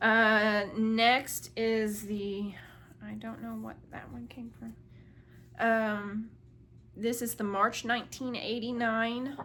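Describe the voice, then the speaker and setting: Against audible room echo, a woman speaks at a fairly high pitch in a bright, sharp tone, with monotone, flat intonation and big swings in loudness. Her pace is very slow, broken by long, frequent pauses. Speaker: crafting video creator. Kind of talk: casual show-and-tell haul video. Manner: casual, filler-heavy.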